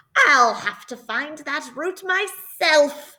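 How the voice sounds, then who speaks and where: A woman performs a put-on character voice at a high pitch. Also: very slow pace. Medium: read story.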